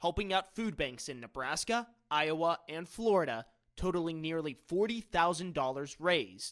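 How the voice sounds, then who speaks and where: A man with a high pitch and an American accent speaks at a moderate pace with lively intonation. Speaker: TV news anchor and reporter. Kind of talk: on-location news package narration.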